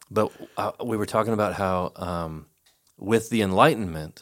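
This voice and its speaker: On a very clean recording with a silent background, a man in an ordinary speaking voice talks fairly slowly at a fairly low pitch, with ordinary pitch variation. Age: 50s. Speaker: pastor. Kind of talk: casual chat.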